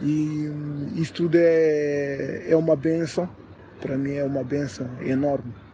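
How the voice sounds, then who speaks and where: Delivered at a very slow pace with fairly even intonation, the voice comes over noticeable background noise. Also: man, fairly high pitch for a man. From Portugal, Lisbon area. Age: 20s. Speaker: interview guest. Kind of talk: interview. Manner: hesitant, many filler sounds.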